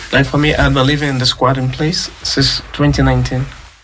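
A man at a very slow pace over noticeable background noise. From Sierra Leone. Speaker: asylum seeker. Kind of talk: interview testimony.

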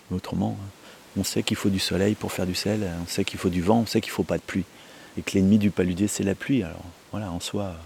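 Speaking at a very fast pace, a man uses a very deep, low pitch and fairly even intonation. He leaves long, frequent pauses. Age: 40s. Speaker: salt farmer. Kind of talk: interview. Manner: hesitant, many fillers.

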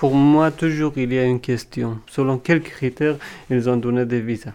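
The speech is very slow with fairly even intonation. The background is quiet. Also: man. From Afghanistan. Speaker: former embassy interpreter. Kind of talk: interview testimony.

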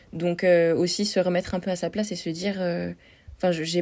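A woman's fairly low-pitched, monotone, flat delivery in a very clean recording with a silent background. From French Alps near Switzerland. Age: 20s. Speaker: psychomotor therapist. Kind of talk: podcast interview.

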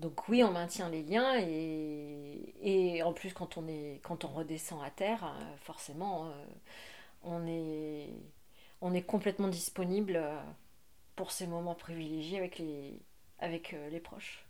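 A woman's dark, mellow voice, fairly low in pitch with ordinary variation, at a very slow pace broken by long, frequent pauses. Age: 40s. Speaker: former merchant navy officer. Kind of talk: interview.

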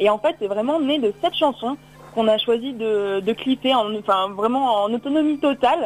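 This woman has a fairly high pitch and talks at a moderate pace. Her loudness stays very even, with ordinary pitch variation. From Drôme, southeastern France. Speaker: singer-songwriter. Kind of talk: radio interview. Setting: phone call. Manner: halting, many repetitions.

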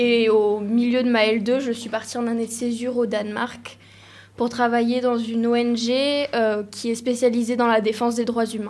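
Her pitch fairly high, a woman speaks at a fairly slow pace with monotone, flat intonation. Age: 20s. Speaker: law student. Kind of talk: casual chat.

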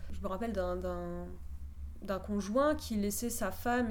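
A woman's voice carries audible room echo. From southern France, Perpignan. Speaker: playwright and short story writer. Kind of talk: radio interview.

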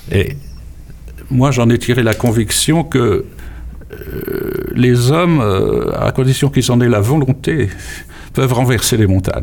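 A man speaks at a very slow pace, with long, frequent pauses. His loudness stays very even over noticeable background noise. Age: 80s+. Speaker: memoir author. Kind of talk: interview. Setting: studio. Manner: halting, repeats words.

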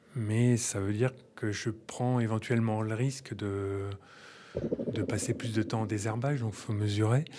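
Medium-pitched male voice with a dark, mellow tone, fairly slow delivery, fairly even intonation, and long, frequent pauses. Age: 50s. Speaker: organic farmer. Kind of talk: interview. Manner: halting.

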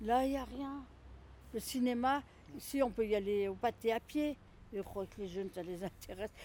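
Fairly high pitch from a woman, a moderate pace, ordinary pitch variation, and long, frequent pauses. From Lyon, France. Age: 60s. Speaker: retired home carer. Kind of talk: interview. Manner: halting, repetitive.

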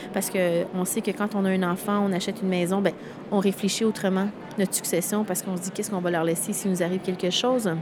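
A woman at medium pitch, very fast pace and monotone, flat intonation, with noticeable background noise. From Quebec. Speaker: event founder. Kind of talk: interview.

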